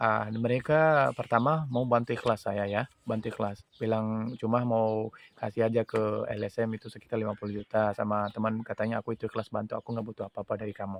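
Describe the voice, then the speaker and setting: With hardly any pauses, a man speaks at a very fast pace in a medium pitch and fairly even intonation, the sound dry and close with no echo. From Pakistan. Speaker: widower seeking justice. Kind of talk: personal testimony appeal. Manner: halting, many fillers.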